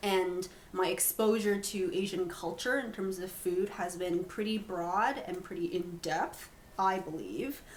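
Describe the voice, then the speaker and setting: Audible room echo surrounds a woman with a Canadian accent at medium pitch. She speaks fairly slowly with ordinary pitch variation. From Canada, immigrated from China young. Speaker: podcast co-host. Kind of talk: casual chat.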